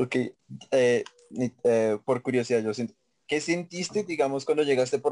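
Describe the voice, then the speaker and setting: This man's voice sits at a medium pitch with a dark, mellow tone. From Colombia, Facatativá (Cundinamarca). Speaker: podcast host. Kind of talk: casual chat.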